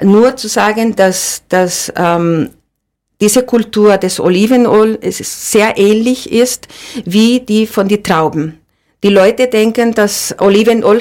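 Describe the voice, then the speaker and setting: A woman's fairly high voice in a Spanish accent, very slow in pace, with ordinary pitch variation. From Andalusia, Spain (Seville). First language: Spanish (speaking German). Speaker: olive oil producer. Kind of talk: interview. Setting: studio. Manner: halting, many repetitions and fillers.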